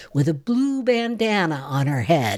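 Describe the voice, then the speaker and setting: A woman's voice with very wide pitch swings, on a very clean recording with a silent background. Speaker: radio reporter. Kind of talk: news feature reading, tribute report. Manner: measured, formal, warm.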